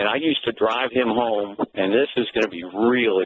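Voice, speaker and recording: Here is a normal speaking voice, moving at a moderate pace with ordinary pitch variation. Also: man. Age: 60s. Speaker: caller, former high school coach. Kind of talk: call-in storytelling.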